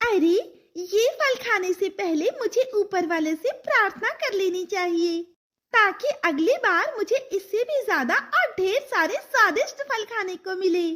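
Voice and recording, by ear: A woman's cartoonish character voice, extremely high in pitch, at a fairly slow pace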